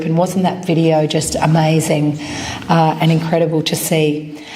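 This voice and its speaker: Against noticeable background noise and audible room echo, a woman speaks in a very deep, low pitch with monotone, flat intonation. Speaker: journalism professor. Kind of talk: event speech.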